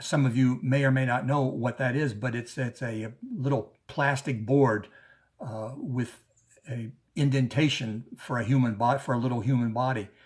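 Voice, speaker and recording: The voice has an American accent and sounds somewhat breathy. It moves at a moderate pace with fairly even intonation. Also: man, medium pitch for a man. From US South, New Orleans. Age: 70s. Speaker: activist. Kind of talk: conference speech. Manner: halting, many repeats.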